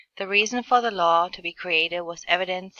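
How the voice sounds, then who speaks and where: A woman's fairly low voice with a German accent, fairly quick and with fairly even intonation. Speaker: healthcare administration student. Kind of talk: class presentation narration. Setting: screen recording.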